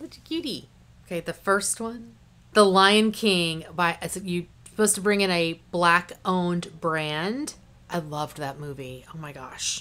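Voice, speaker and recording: A woman speaks at a fairly slow pace in a fairly low pitch, with a bright, sharp, animated tone. Her pitch variation is ordinary, while her loudness swings widely. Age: 40s. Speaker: beauty youtuber. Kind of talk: casual vlog talk. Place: home room.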